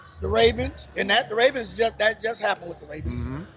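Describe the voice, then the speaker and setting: Noticeable background noise fills the recording. Through it, a man talks with an American accent. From South Florida. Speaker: sports radio host. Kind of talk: casual sports talk show. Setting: live on location at a pizza bar.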